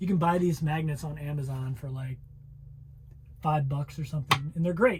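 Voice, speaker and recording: Somewhat breathy and fairly high-pitched, a man speaks with an American accent and ordinary pitch variation. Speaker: travel vlogger. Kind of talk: casual vlog cooking tutorial. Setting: inside a camper van.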